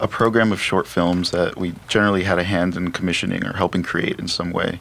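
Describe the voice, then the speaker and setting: Noticeable background noise beneath fairly quick speech. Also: man. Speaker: filmmaker. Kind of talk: casual chat. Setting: studio.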